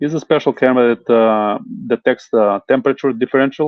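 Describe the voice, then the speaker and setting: Medium pitch and a non-native accent from a man, at a moderate pace with fairly even intonation. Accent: foreign. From Italy. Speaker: home inspector. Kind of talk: interview. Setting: live stream. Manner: hesitant, many fillers.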